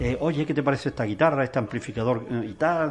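The speech moves at a fairly quick pace, with lively intonation. The voice is somewhat breathy. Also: man. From Granada, Spain. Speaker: musician. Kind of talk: interview.

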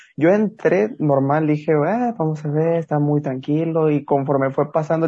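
At a moderate pace, a man talks with fairly even intonation and a fairly high pitch. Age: young. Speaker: podcast host. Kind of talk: casual interview. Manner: halting, repeats words.

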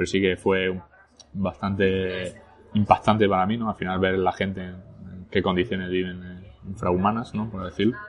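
At a moderate pace, a man speaks in a very deep, low pitch. His intonation is monotone and flat. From northern France, later Spain. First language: French (speaking Spanish). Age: 30s. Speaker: entrepreneur. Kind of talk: casual interview over lunch. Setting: restaurant.

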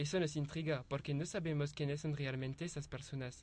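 With a French accent, a man talks at a fairly high pitch and fairly quick pace, his intonation fairly even. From France. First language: French (speaking Spanish). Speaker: university translation student. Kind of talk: student presentation.

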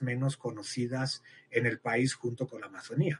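A somewhat breathy male voice at a fairly slow pace. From Spain, Madrid. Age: 50s. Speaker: biologist researcher. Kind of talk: interview.

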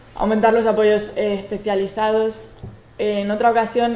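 Woman's fairly high voice at a moderate pace, with audible room echo and noticeable background noise. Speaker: social researcher. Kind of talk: conference talk. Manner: stuttering at times.

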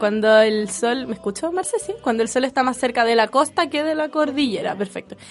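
A woman talks in a high pitch with lively intonation at a fairly quick pace, with hardly any pauses. Noticeable background noise is present. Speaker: radio host, youth volunteer. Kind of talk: casual chat.

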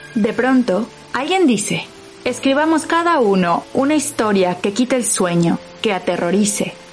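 A woman's fairly high voice with very wide pitch swings, a fairly slow pace and very even loudness, music playing in the background. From Mexico. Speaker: podcast host and narrator. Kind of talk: scripted narration.

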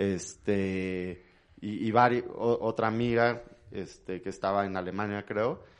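A man's unremarkable speaking voice, fairly low in pitch, at a fairly slow pace with fairly even intonation. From Mexico City. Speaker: traveler. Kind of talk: casual chat.

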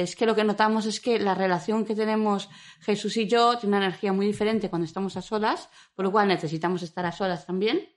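A woman's unremarkable speaking voice, medium in pitch, fairly quick, with fairly even intonation. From Madrid. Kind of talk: interview.

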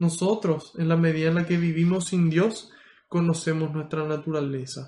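High in pitch, a man's voice carries a dark, mellow tone. He speaks at a fairly slow pace. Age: 20s. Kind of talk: prayer and preaching.

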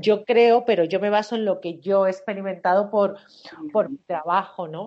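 A woman speaks with an ordinary speaking voice at a medium pitch. Her pace is fairly slow, with ordinary pitch variation. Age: 40s. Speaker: coach and therapist. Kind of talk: interview.

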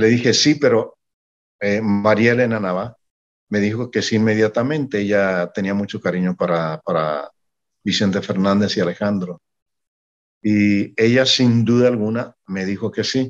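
In a quiet setting, a man talks at a moderate pace with a fairly low pitch and ordinary pitch variation. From Mexico. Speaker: singer-songwriter and music manager. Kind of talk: interview.

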